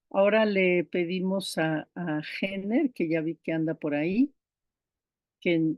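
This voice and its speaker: A woman talks at a very slow pace with a fairly low pitch. Her pitch variation is ordinary. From Brazil. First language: Icelandic (speaking Spanish). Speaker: diploma course instructor. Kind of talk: online class lecture.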